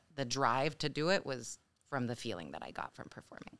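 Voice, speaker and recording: A woman talks with an American accent and vocal fry. The recording is very clean, with a silent background. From Mexico. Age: 30s. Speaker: actor. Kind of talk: casual interview.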